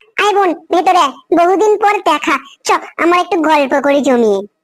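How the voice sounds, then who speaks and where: A cartoonish character voice from a woman, squeaky and extremely high-pitched, with lively intonation, very even loudness and a moderate pace. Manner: sharp-tongued.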